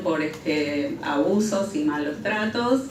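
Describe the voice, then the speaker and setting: Very slow female speech, audible room echo and noticeable background noise around it. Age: 60s. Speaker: human rights witness. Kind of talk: testimony. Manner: halting.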